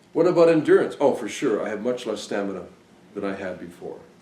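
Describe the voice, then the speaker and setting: There is audible room echo around this voice. A man talks at a moderate pace. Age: 60s. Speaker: device designer and trainer. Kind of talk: lecture.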